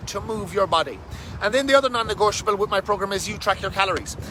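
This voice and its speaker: Noticeable background noise accompanies a man with an animated tone. His pitch varies in an ordinary way. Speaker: fitness coach. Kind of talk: casual live stream talk. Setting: outdoors under a bridge.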